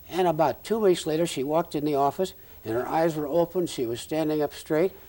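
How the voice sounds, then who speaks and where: A man with a Midwestern US accent, a dark, mellow tone, and a fairly quick pace. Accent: US Midwest. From Nebraska, Omaha. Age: 70s. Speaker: retired ophthalmologist. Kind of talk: oral history interview. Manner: halting.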